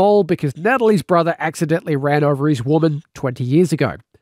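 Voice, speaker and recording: With an Australian accent, a man talks at a fairly quick pace in a dry, close sound with no echo. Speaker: radio presenter and author. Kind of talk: reading aloud.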